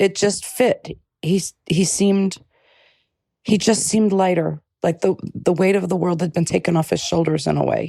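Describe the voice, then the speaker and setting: A woman with an American accent and a dark, mellow tone uses vocal fry at a fairly low pitch, speaking at a moderate pace with fairly even intonation, very even loudness, and long, frequent pauses. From New York. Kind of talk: interview testimony. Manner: halting, repeats words.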